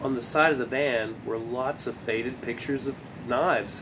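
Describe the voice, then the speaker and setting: Noticeable noise runs behind a man who speaks at a moderate speed. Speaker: amateur reader of children's book. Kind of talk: reading aloud. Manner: halting, self-correcting.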